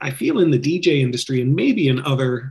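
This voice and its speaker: A somewhat breathy voice is heard. The speaker is a man. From Canada, Ontario (Toronto area). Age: 50s. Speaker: wedding DJ business owner. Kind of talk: interview podcast chat. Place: home room. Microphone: webcam.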